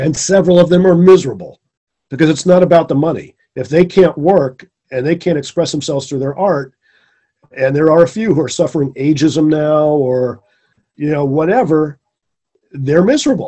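The speaker is a man with a fairly high pitch and ordinary pitch variation. He talks at a moderate pace, with long, frequent pauses. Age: 50s. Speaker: screenwriter and producer. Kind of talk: casual interview.

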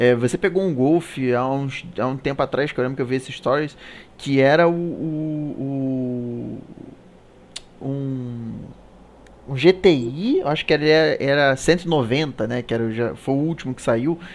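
A man talks in an ordinary speaking voice with fairly high pitch. His pace is fairly slow, and his pitch varies an ordinary amount. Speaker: live show host. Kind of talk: casual chat. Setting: live stream.

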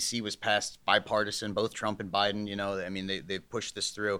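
At a very fast pace, a man with an American accent speaks in a fairly low pitch with a bright, sharp tone. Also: very clean recording, silent background. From northeast Ohio, US. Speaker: solar company executive. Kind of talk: podcast interview.

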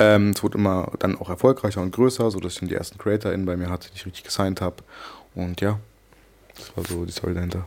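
A man speaks very fast in a very deep, low pitch with fairly even intonation. His loudness swings widely. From Germany, Hannover. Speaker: entrepreneur. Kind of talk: interview. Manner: casual, hesitant with fillers.

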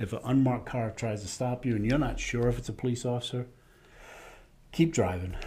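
Somewhat breathy and dark, mellow in tone, a man speaks at a medium pitch and a fairly quick pace, with ordinary pitch variation and long, frequent pauses. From Rhode Island. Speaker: safety trainer, retired police officer. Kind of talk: interview.

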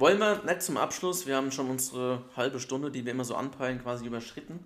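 A medium-pitched man at a very fast pace. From Germany, Bergstraße district (southern Hesse). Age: 20s. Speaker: football podcast co-host. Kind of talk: casual chat.

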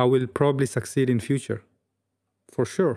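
Set against a silent background in a very clean recording, a voice with a non-native accent carries a dark, mellow tone. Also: man. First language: not English. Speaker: YouTuber, travel and photo video creator. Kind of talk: solo vlog monologue. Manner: reserved expression despite inner excitement; frequent fillers (um, uh, well, like).

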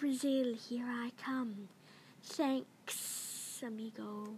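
A put-on character voice moves at a very slow pace over clear background noise. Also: woman, high pitch for a woman. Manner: casual, cheerful, thankful.

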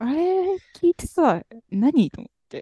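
A woman with a high, dark and mellow voice speaks slowly with big pitch swings, the sound dry and close with no echo.

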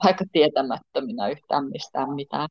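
The delivery moves at a fairly slow pace. Pitch variation is ordinary. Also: woman. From Tornio, Finnish Lapland. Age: 50s. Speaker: pole dance and yoga studio owner. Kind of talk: interview. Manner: hesitant, many fillers.

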